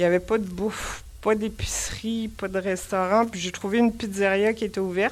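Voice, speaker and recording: With a Quebec accent, a woman talks at a medium pitch and with fairly even intonation. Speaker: pilgrim giving a talk. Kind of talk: public talk. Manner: casual, with many hesitations.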